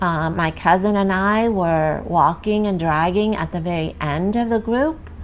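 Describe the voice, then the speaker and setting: Speaking with a Vietnamese accent, a woman uses a fairly low pitch and ordinary pitch variation, going at a fairly slow pace with hardly any pauses. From South Vietnam, Saigon. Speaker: refugee sharing immigration story. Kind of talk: interview testimony. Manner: halting, many fillers.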